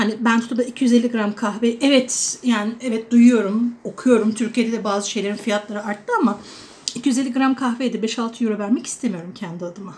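The speaker goes at a moderate pace. The intonation stays fairly even. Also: woman, fairly high pitch for a woman. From Turkey, Adana; Turkey. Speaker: vlogger; expat vlogger. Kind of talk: casual vlog monologue. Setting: indoors at home during a storm. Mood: warm, chatty, amused. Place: kitchen. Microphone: phone near.

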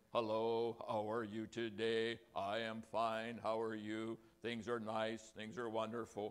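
Putting on a character voice, a man talks at a medium pitch and a fairly slow pace in a monotone, flat delivery with hardly any pauses.

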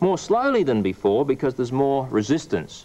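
A man speaks at a fairly quick clip. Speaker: presenter. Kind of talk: tutorial. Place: studio.

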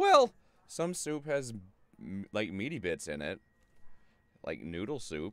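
A man talks at a fairly slow pace, leaving long, frequent pauses. His pitch swings very widely, and the sound is dry with no echo. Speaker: video game streamer. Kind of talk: gaming livestream chat. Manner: deliberately lowered pitch. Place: home room.

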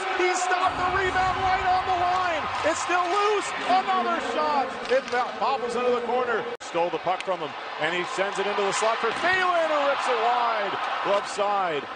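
The voice is raised and projected, swinging very widely in pitch. Noticeable background noise sits behind it. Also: man, extremely high pitch for a man. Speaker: hockey play-by-play announcer. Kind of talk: live sports commentary, play-by-play call of a hockey game. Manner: rapid-fire, clipped, breathless play-by-play; rises in excitement on goals and close calls, unsure and questioning on a disputed goal.

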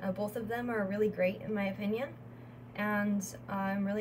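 Over noticeable background noise, a woman with an American accent talks at a moderate pace with fairly even intonation. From Northwest Indiana, US Midwest. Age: 20s. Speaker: wellness entrepreneur and YouTuber. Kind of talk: channel introduction monologue. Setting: solo video recording. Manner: halting with frequent fillers. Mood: calm, warm, proud. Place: home room. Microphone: phone near.

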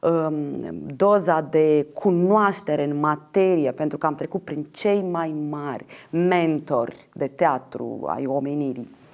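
A woman speaks at a fairly low pitch with ordinary pitch variation. The background is quiet. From Moldova, Ștefan Vodă district; Moldova. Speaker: actress and theatre director; interview guest. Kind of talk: interview; interview answer. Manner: halting. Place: studio. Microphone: lapel.

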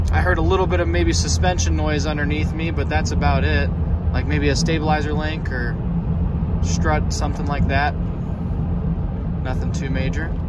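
Loud background noise accompanies a man whose voice sounds dry, with no echo. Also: ordinary pitch variation, moderate pace. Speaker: driver reviewing a vehicle. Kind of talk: commentary. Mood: relaxed, satisfied. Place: car. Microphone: phone near.

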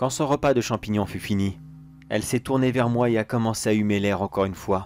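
An anxious-sounding man at a fairly quick pace, with ordinary pitch variation and music in the background. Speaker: creepypasta narrator. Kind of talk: horror story narration in first person. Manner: halting, anxious, repeating words.

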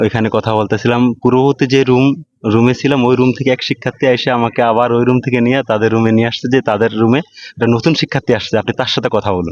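In an ordinary speaking voice, a man talks at medium pitch with very even loudness and a dry, close sound with no echo. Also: fairly even intonation. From Bangladesh, Chandpur. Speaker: student election candidate. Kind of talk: interview. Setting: university dormitory hall.

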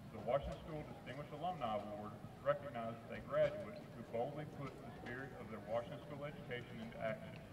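The loudness swings widely at a very fast pace. Noticeable background noise sits underneath. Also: man, ordinary pitch variation. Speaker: school event announcer. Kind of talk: formal PA announcement, reading. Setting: stadium PA system. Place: stadium.

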